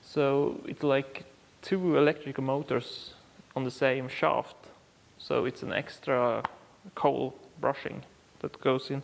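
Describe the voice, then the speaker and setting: Speaking with a Swedish accent, a man with a fairly high pitch talks at a very slow pace in a monotone, flat intonation, leaving long, frequent pauses. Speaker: car repair YouTuber. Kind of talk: tutorial. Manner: halting, many fillers.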